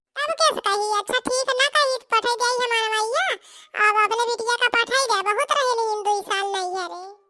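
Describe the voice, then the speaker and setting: In a cartoonish character voice, a woman squeaks along at an extremely high pitch. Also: moderate pace. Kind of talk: rustic comic cartoon acting. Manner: grumbling, complaining.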